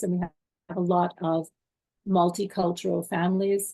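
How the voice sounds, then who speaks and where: Somewhat breathy and dark, mellow in tone, a woman speaks in a Canadian accent with monotone, flat intonation. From Canada. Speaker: parent. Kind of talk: interview.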